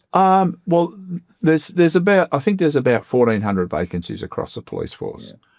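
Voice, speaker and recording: Here a man talks at a fairly quick pace with an Australian accent. The recording is very clean, with a silent background. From Melbourne's west, Australia. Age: 60s. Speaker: member of parliament. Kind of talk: interview. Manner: hesitant, many fillers.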